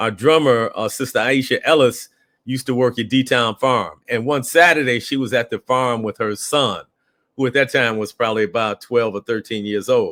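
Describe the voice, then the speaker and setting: A man speaks in an ordinary speaking voice at a moderate pace and medium pitch, with fairly even intonation. The recording is very clean with a silent background, and the sound is dry and close with no echo. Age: 60s. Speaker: musician and urban farmer. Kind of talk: interview. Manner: relaxed conversational with fillers.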